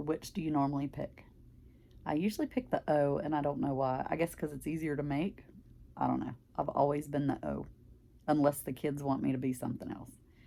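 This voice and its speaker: Talking at a fairly quick pace with a strong Southern US accent, a woman uses a very deep, low pitch, a dark, mellow tone, vocal fry and fairly even intonation. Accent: very strong Southern country. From US South, Mississippi. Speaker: craft vlogger. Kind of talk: casual chat.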